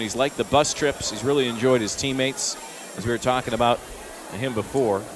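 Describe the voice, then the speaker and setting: Medium-pitched male voice at a fairly quick pace amid noticeable background noise. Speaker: play-by-play broadcaster. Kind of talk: live commentary. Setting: ballpark broadcast.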